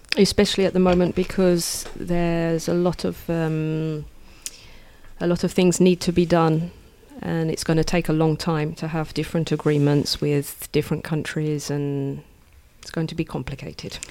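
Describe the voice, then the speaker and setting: In an English accent, a woman speaks with a very deep, low pitch and a dark, mellow tone, her intonation monotone and flat. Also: moderate pace. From England. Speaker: English teacher. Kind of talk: interview.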